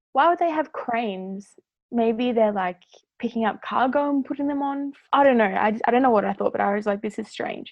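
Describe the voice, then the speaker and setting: A woman talks at a fairly quick pace in an Australian accent. Her tone is animated, with ordinary pitch variation. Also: fairly high pitch for a woman. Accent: thick Australian. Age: 20s. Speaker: former cruise ship worker. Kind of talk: storytelling in casual podcast chat. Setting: podcast recording.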